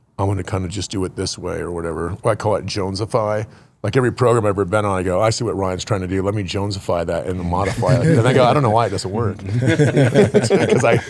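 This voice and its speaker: Against noticeable background noise, a man talks at a very fast pace with hardly any pauses. His voice is fairly low, animated in tone, with ordinary pitch variation. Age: 50s. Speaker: business owner and fitness program client. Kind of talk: casual interview chat.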